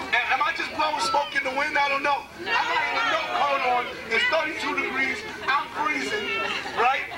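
A man speaks in a raised, projected voice. Crowd noise carries in the background. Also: moderate pace. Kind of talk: rally speech. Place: street. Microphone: camera far.

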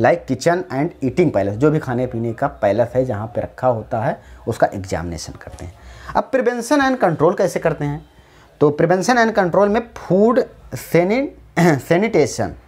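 His pitch swings very widely as the man talks at a moderate pace. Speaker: teacher. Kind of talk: lecture. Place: classroom. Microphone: lapel.

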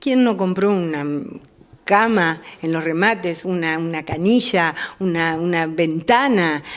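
Over noticeable background noise, a woman speaks very slowly at a fairly low pitch with ordinary pitch variation. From Argentina, Moreno (Buenos Aires). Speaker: newspaper director and teacher. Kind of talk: interview.

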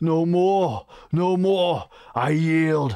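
A man uses a put-on character voice at a fairly high pitch, at a very slow pace with lively intonation. His tone is clear, smooth, dark and mellow.

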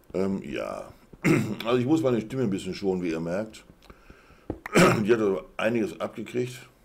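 A man at medium pitch speaks with lively intonation and long, frequent pauses. Noticeable background noise runs underneath. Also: moderate pace. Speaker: gaming live streamer. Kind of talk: casual gameplay commentary. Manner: casual, chatty.

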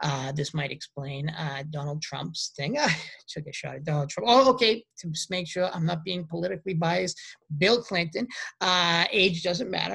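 On a very clean recording with a silent background, someone with an American accent talks at a moderate pace. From US Northeast, Boston. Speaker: university lecturer. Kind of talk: lecture. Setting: home recording during quarantine. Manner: halting.

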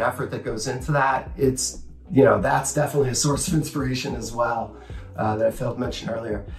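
A man is heard with faint background music and audible room echo. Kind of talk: master class talk to camera. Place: home room.

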